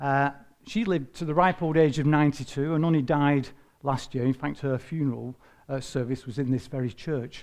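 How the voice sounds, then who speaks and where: This man talks at a fairly quick pace in a Lancashire accent. His pitch is fairly high, with ordinary variation. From northern England, Bolton. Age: 60s. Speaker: retired environmental health officer. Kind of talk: personal talk to church group. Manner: hesitant, many fillers.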